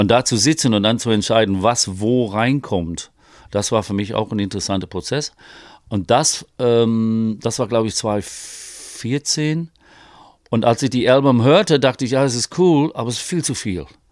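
On a very clean recording with a silent background, the speaker talks at a fairly slow pace with ordinary pitch variation. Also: man, medium pitch for a man. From northeast England. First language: English (speaking German). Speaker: vocal coach and singer-songwriter. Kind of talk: casual interview. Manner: halting, many fillers.

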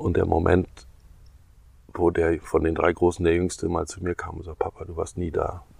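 The speaker talks at a fairly quick pace but leaves long, frequent pauses. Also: man. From East Germany and Ghana. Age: 60s. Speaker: stage artist and clown. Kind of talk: casual chat. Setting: outdoors on a meadow.

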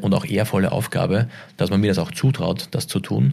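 A man talks at a moderate pace with a fairly low pitch. His tone is dark and mellow, with vocal fry. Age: 40s. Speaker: retail executive. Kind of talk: interview. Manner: halting.

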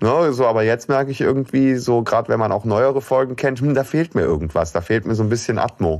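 A man at a very fast pace, with lively intonation and very even loudness. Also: medium pitch for a man, hardly any pauses. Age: middle-aged. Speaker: podcast co-host. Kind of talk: casual chat.

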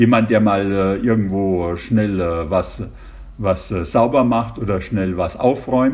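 Against audible room echo, a man with a fairly low pitch speaks very slowly, his intonation lively. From Germany. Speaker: intensive care physician. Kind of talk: interview. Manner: hesitant, many fillers.

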